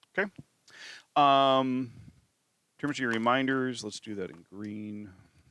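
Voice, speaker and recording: In a very clean recording with a silent background, a man with a southern Wisconsin accent speaks at a fairly slow pace and a medium pitch, his bright, sharp tone showing ordinary pitch variation and big swings in loudness. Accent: own southern Wisconsin. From southern Wisconsin, US Midwest. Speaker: math teacher. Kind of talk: tutorial. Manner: casual, with many fillers.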